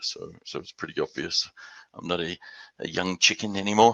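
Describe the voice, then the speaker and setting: A man in an Australian accent at a moderate pace, dry and close with no echo. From Western Australia and Houston. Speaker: business development executive. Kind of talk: business presentation. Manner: hesitant, many repeated words.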